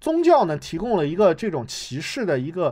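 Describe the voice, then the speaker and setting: Speaking at a fairly quick pace, a man's pitch swings very widely. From United States. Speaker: theatre enthusiast guest. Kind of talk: casual discussion. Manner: halting, many fillers.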